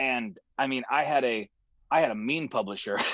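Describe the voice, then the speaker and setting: Against a quiet background with a dry sound and no echo, a man with an American accent makes very wide pitch swings. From California. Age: 20s. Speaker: songwriter and music producer; guest. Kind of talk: conversational interview. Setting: video call from his studio. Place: studio. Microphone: video call.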